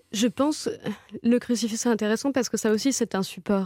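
Against a silent background on a very clean recording, a woman speaks with a dark, mellow tone at a moderate pace and with ordinary pitch variation. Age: 30s. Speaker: novelist. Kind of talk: radio interview. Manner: halting, many fillers and repetitions.

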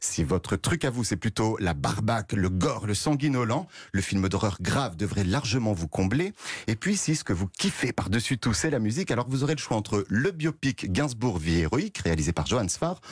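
A somewhat breathy man at a moderate pace, with very wide pitch swings. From France, Nièvre. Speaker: culture news columnist. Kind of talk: radio news segment.

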